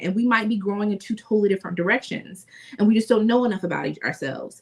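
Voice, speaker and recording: This woman's voice sits at a medium pitch, somewhat breathy, with ordinary pitch variation. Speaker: podcast co-host. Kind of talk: casual chat.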